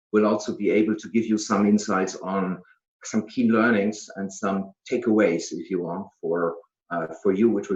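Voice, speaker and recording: Speaking at a moderate speed, a man talks with a German accent. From Germany. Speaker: business executive. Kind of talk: presentation. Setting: video call. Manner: halting, many fillers.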